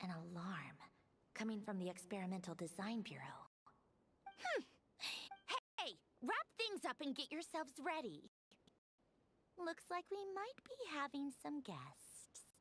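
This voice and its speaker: A female-sounding put-on character voice, pitched high for a woman. It moves at a fairly slow pace with long, frequent pauses. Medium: machinima. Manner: mocking, languid, condescending.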